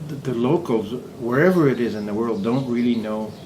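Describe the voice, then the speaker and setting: Over noticeable background noise and audible room echo, a man speaks with a Quebec accent at a medium pitch with ordinary pitch variation. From Quebec, Montreal. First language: French. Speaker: semi-retired expat. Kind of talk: casual interview.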